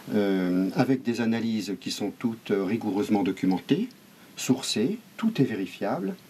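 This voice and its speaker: Fairly slow and fairly low, a man's voice moves through ordinary pitch variation. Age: 50s. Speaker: local election candidate. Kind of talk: interview. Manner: hesitant, many fillers.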